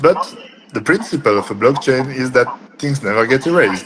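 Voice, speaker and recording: A man talks at a fairly quick pace with a French accent and lively intonation. His pitch is fairly high, and there is noticeable background noise. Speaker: cryptography entrepreneur. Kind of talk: interview. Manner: hesitant with frequent fillers.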